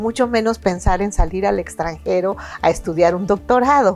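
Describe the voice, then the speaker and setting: At a moderate pace, a woman speaks in an ordinary speaking voice with a medium pitch and ordinary pitch variation. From Mexico. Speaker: retired supreme court justice, interview host. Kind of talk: interview.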